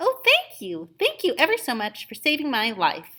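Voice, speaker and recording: The put-on character voice is squeaky and high-pitched. It moves at a moderate pace. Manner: grateful.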